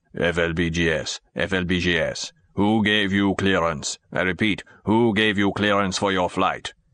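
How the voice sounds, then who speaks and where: A man uses a put-on character voice that is stern and resonant, with a very deep, low pitch and fairly even intonation. He speaks at a fairly slow pace and very even loudness against a quiet background. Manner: stern, demanding.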